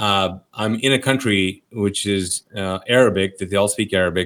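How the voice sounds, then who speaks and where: In a Pakistani accent, a man speaks fairly slowly at a fairly low pitch with ordinary pitch variation. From Kuwait, Pakistani family. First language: Urdu. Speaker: pastor. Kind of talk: interview, personal testimony. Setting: podcast. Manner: animated, casual with fillers.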